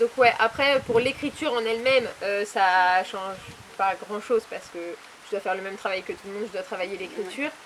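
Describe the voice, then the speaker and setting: A woman with a fairly high pitch talks fairly quickly, her pitch varying in an ordinary way, in a normal speaking voice. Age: 20s. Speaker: author and publisher. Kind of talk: interview.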